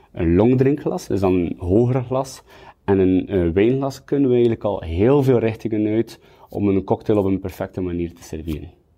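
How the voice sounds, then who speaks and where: A man with a plain, everyday voice, fairly low in pitch, lively in intonation, at a moderate pace with big swings in loudness. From Belgium, West Flanders (Kortrijk). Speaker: sommelier and bartender. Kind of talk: tutorial.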